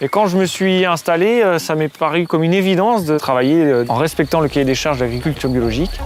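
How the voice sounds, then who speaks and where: Over music in the background, a man talks at a very fast pace with hardly any pauses, very even loudness and ordinary pitch variation. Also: fairly high pitch for a man. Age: 30s. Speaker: farmer. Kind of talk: interview testimony. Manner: hesitant, frequent fillers.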